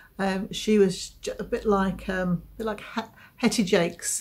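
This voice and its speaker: Somewhat breathy and at a medium pitch, a woman speaks in a monotone with flat intonation. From southeast England, Essex. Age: 50s. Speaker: knitting podcaster. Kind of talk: casual chat. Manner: hesitant, many fillers.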